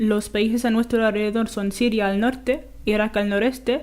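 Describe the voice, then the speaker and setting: A woman with an Arabic accent, fairly high in pitch, at a moderate pace. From Jordan. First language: Arabic (speaking Spanish). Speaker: graduate student. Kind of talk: radio interview.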